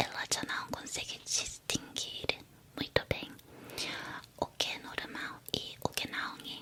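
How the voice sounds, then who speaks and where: A woman whispers at a very slow pace. Long, frequent pauses break her speech, and background noise is noticeable. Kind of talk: whispered ASMR talk about psychology. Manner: whispered, soft-spoken.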